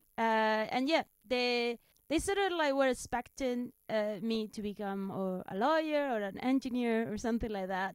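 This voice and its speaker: A woman with a Spanish accent, fairly high-pitched, with lively intonation at a moderate pace, in a very clean recording with a silent background. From Spain. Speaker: stand-up comedian. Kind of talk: interview. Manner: halting.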